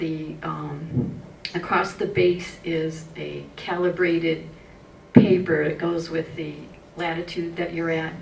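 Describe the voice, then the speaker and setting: A woman speaks at a fairly low pitch with fairly even intonation. Background noise is noticeable, and room echo is audible. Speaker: homeowner with solar panels, forum panelist. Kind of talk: presentation. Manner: fast.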